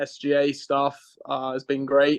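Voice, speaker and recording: Against a quiet background, a voice with an English accent goes at a very slow pace, the sound dry and close with no echo. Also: man. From southern England, Reading. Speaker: college golfer. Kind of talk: podcast interview.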